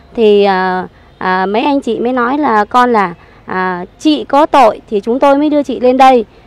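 Lively intonation at a fairly slow pace, dry and free of echo. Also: woman, high pitch for a woman. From Saigon, Vietnam. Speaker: evicted resident. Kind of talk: testimony. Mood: aggrieved, earnest recounting. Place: garden. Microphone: handheld.

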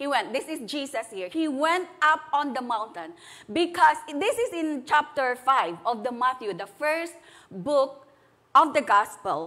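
In a raised, projected voice with a bright, sharp tone, a woman speaks at a fairly slow pace with very wide pitch swings. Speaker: preacher. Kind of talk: sermon. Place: church. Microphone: lapel.

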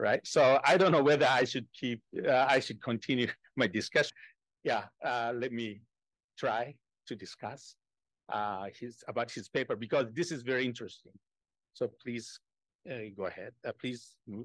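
With a Japanese accent, a man speaks at a moderate pace with ordinary pitch variation and long, frequent pauses, in a dry sound with no echo and a quiet background. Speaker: economics professor, discussant; economics professor. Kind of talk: academic discussion. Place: meeting room. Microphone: podium.

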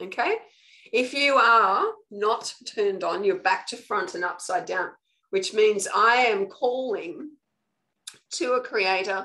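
A woman with an Australian accent speaks very slowly, with long, frequent pauses. Her fairly high voice has a bright, sharp tone and lively intonation. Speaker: spiritual coach. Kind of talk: live online training talk. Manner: casual, conversational.

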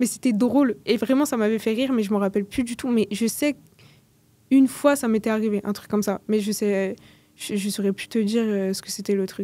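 In a dry recording with no echo, a woman with a fairly high pitch speaks at a fairly quick pace, her pitch varying in an ordinary way. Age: 20s. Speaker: community manager and LinkedIn coach; podcast guest. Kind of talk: casual interview. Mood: relaxed, conversational. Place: studio. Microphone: studio mic.

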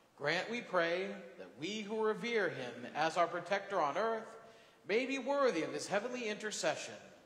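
Moderate pace with audible room echo. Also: man. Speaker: priest leading mass. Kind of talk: liturgical prayer. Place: church. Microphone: camera far.

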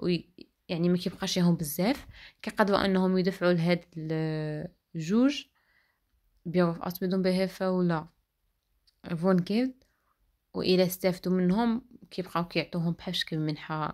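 Long, frequent pauses break up speech at a moderate pace on a very clean recording with a silent background. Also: woman, fairly low pitch for a woman. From Morocco, El Jadida. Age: 20s. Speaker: vlogger, vocational trainee. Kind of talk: vlog monologue. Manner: halting, frequent 'ah' fillers.

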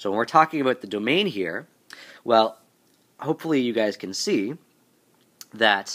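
At a moderate pace, a man speaks with a bright, sharp tone in a very clean recording against a silent background. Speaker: math teacher. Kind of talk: math tutorial narration. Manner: casual, hesitant with fillers.

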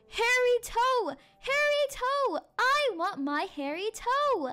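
A woman puts on a character voice, pitched extremely high and spoken at a very slow pace. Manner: howling.

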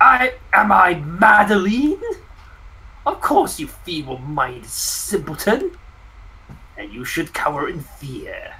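A put-on character voice at a fairly high pitch, fairly slow pace and long, frequent pauses. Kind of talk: comic overacting. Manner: haughty, contemptuous.

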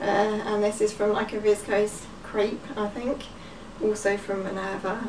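The speaker is a woman with a medium pitch. Background noise is noticeable throughout. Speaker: home dressmaker. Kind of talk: casual talk to camera. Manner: chatty, hesitant.

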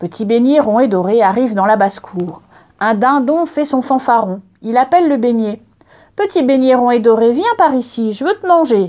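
With lively intonation and a high pitch, the woman talks at a moderate pace. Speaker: librarian storyteller. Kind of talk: storytelling, reading a picture book aloud to children. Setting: filmed reading, video. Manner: repetitive rhythm, speeding up on 'vite, vite, vite'.

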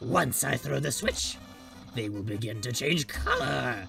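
A man puts on a theatrical character voice at medium pitch. He keeps a moderate pace over clear background music. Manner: grandiose, theatrical.

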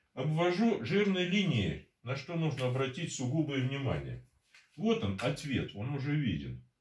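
A man speaks at a fairly slow pace with audible room echo. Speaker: mathematician. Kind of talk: math lecture at a whiteboard. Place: home room. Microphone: camera far.

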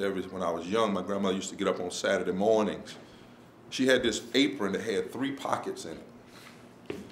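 At a fairly quick pace, a man speaks over light background noise. The room echo is audible. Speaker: visiting preacher. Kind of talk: sermon. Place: hall.

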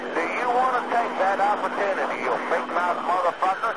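A man talks at a moderate pace while loud background noise fills the clip.

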